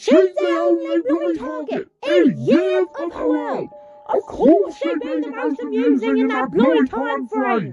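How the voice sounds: A cartoonish character voice with a fairly high pitch moves at a fairly slow pace over faint music in the background.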